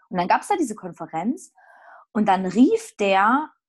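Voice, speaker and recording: A woman's somewhat breathy voice, fairly slow, with lively intonation, on a very clean recording with a silent background. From Saxony, Erzgebirge. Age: 30s. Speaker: theologian and actress. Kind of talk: casual chat.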